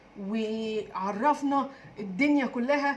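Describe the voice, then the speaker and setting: With an Egyptian accent, a woman speaks with ordinary pitch variation. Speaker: diet and weight-loss YouTuber. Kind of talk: casual vlog talk. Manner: halting, many fillers; trying to speak louder.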